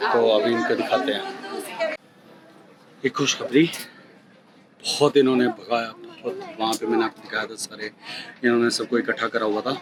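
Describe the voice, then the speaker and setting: A man speaks at a fairly slow pace, with long, frequent pauses. Crowd noise can be heard in the background. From India. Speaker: travel vlogger. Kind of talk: travel vlog. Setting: airport and in flight; at home. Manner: hesitant, many fillers.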